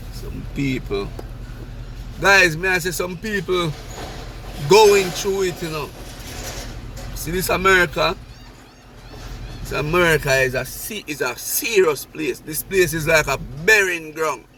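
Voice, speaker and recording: A man with a Jamaican accent speaks at a fairly slow pace, with long, frequent pauses. His pitch is high for a man with ordinary variation, over noticeable background noise. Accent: Jamaican patois. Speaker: vlogger. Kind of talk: casual vlog monologue. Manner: animated.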